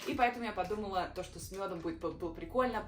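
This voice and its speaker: A woman speaks at a medium pitch with lively intonation. Noticeable background noise and audible room echo surround her. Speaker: vlogger. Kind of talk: casual vlog. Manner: halting.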